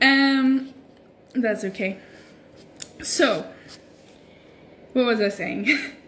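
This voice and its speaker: Speaking very slowly with long, frequent pauses, a woman uses a high voice with ordinary pitch variation amid audible room echo and noticeable background noise. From Norway and Sweden. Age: 20s. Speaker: social media creator. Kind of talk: casual livestream chat. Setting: Instagram live stream. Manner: casual, hesitant with fillers.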